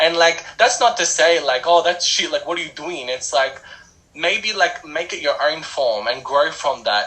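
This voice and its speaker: A man's fairly high voice at a moderate pace with ordinary pitch variation, over noticeable background noise. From Australia. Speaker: rapper. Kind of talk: interview.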